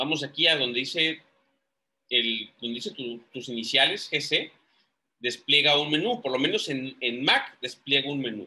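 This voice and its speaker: Bright and sharp in tone, a man's medium-pitched voice moves at a fairly slow pace with ordinary pitch variation. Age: 30s. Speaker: lawyer and investing YouTuber. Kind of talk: screen-share tutorial. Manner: halting, many fillers.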